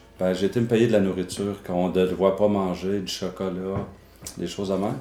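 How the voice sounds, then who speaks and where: At a moderate pace, the voice has a dark, mellow tone and a monotone, flat intonation. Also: man. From Quebec City. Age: 50s. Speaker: former bodybuilder. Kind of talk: testimony. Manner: halting.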